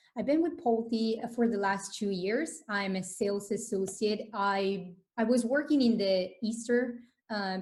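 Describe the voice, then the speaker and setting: Speaking in an Italian accent, a woman with a medium pitch sounds somewhat breathy, moving at a fairly slow pace with ordinary pitch variation. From northern Italy, Vicenza near Venice. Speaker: sales associate. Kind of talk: interview.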